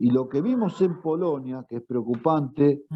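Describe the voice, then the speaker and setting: A man's medium-pitched voice with a Rioplatense accent and ordinary pitch variation. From Argentina. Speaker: retired teacher. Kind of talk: interview answer.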